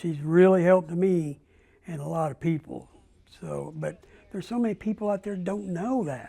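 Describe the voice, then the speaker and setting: A man's voice is high in pitch, with a dark, mellow tone. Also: ordinary pitch variation, moderate pace. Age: 70s. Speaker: retired coal miner. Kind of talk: interview.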